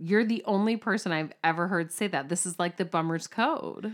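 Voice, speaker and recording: Her pitch varying in an ordinary way, a woman talks with hardly any pauses. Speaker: podcast co-host.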